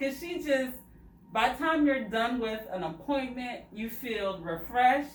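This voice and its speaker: A woman talks at a fairly slow pace with lively intonation. Noticeable background noise is present. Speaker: loc stylist. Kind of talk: casual talk to camera. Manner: excited.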